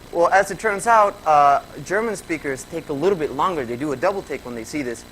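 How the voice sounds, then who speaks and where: Noticeable background noise sits behind a man who talks at a very fast pace with very wide pitch swings. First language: Spanish. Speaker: graduate student presenter. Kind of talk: conference presentation. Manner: conversational with fillers.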